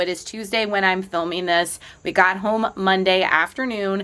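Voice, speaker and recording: A woman talks at a medium pitch. Noticeable background noise sits behind her. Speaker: fitness vlogger. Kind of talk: casual vlog talk. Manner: animated.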